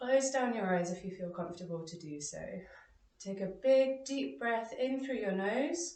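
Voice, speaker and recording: A woman with a fairly high voice speaks fairly slowly, her pitch swinging very widely and her loudness varying greatly. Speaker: yoga instructor. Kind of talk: guided yoga class instruction.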